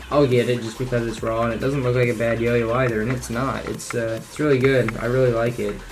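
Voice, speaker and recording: Over noticeable background noise and audible room echo, a man speaks very fast at medium pitch with flat, monotone intonation and hardly any pauses. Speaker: yo-yo hobbyist youtuber. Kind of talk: casual show-and-tell video. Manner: casual, with fillers.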